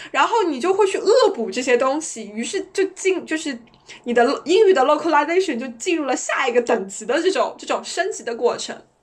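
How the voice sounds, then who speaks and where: A high-pitched woman's voice at a fairly quick pace, with very wide pitch swings, big swings in loudness and noticeable background noise. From China. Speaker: podcast co-host. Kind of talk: casual chat.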